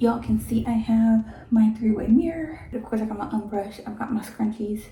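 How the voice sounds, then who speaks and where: A woman whispers. Noticeable background noise is present. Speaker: hair vlogger. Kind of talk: casual hair tutorial vlog. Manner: whispering.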